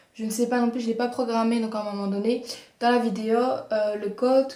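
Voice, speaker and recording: Over noticeable background noise, a woman talks at a fairly quick pace in a fairly high pitch. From Belgium. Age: 20s. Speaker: beauty vlogger. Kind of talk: casual talk to camera.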